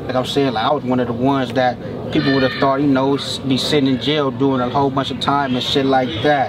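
A man talking at a very fast pace in a monotone, flat delivery, over noticeable background noise. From Venice, Los Angeles, California; California. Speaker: rapper; interviewee. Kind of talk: casual interview. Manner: halting, repeats words often. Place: open country.

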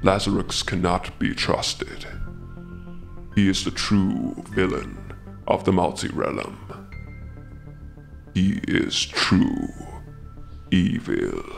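A man in a put-on character voice talks at a very slow pace with long, frequent pauses and very even loudness, while clear music plays in the background. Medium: audio drama. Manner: formal, solemn.

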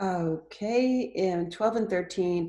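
A woman speaks at a fairly low pitch with lively intonation. Her tone is dark and mellow, and the background is quiet. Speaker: Bible study participant. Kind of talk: group discussion. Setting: video call. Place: home room. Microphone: headset.

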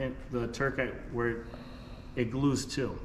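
A man is heard with audible room echo and light background noise around him. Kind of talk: tutorial. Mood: relaxed, frank. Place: workshop. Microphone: camera far.

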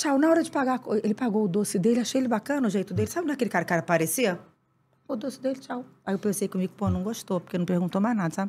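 Her tone animated and her intonation lively, a woman speaks at a very fast pace in a somewhat breathy voice. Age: 50s. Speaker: actress. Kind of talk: casual chat. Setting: studio. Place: studio. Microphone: studio mic.

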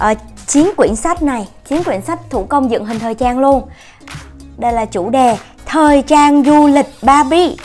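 The speech moves at a fairly slow pace with ordinary pitch variation while faint music plays in the background. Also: woman. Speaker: unboxing channel host. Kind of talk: casual unboxing show-and-tell. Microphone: phone near.

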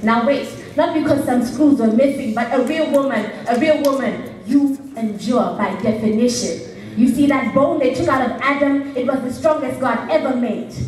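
A high-pitched woman at a moderate pace with ordinary pitch variation, light background noise and audible room echo. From Zambia. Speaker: slam poet. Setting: stage with audience. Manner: animated, emphatic and punchy, with a theatrical build and dramatic pauses. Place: stage.

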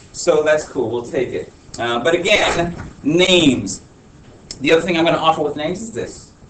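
Amid noticeable background noise and audible room echo, a man talks fairly fast at a fairly high pitch with lively intonation. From Honduras. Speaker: teacher. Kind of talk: classroom talk. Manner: casual, filler-heavy.

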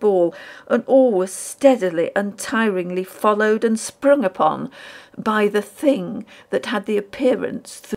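An unforced reading voice is what this clip holds.

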